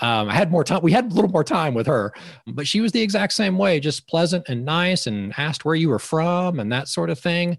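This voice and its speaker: A man talks at a fairly quick pace in a high voice. His pitch swings very widely. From Georgia, US. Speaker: filmmaker and media coach. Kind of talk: casual interview. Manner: halting, with fillers.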